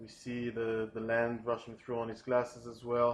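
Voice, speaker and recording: With a non-native accent, a man speaks at a fairly slow pace and medium pitch. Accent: foreign accent, non-native English. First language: not English. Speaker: storyboard artist pitching a film sequence. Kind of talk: storyboard pitch narration. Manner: hesitant, many fillers.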